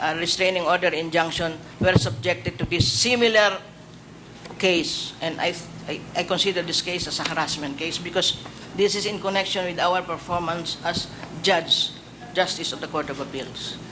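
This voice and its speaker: Against noticeable background noise, a man talks at a moderate pace with a high pitch and ordinary pitch variation. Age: 60s. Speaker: judge, judicial candidate. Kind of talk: public panel interview. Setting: hearing room. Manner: halting, many hesitations.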